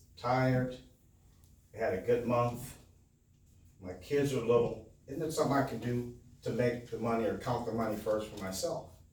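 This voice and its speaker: Speech comes at a moderate pace with ordinary pitch variation and long, frequent pauses. Audible room echo surrounds it. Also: man, medium pitch for a man. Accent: American. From Milwaukee, Wisconsin, US Midwest. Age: 60s. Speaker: business owner and motivational speaker. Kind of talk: motivational talk to a live audience. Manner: conversational, engages audience with questions.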